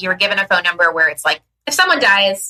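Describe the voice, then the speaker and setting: A woman speaks loudly in a bright, sharp tone. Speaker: podcast co-host; business owner. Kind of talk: casual chat. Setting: podcast recording. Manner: animated.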